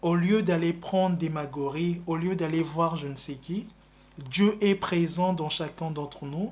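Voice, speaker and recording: Very slow speech carries fairly even intonation. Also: man. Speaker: religious preacher. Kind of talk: religious teaching.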